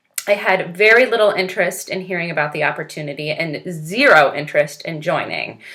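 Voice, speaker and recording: A woman with a fairly low pitch talks at a fairly quick pace, with hardly any pauses. There is noticeable background noise. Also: ordinary pitch variation. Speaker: direct sales consultant. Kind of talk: recorded testimony. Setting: recorded video.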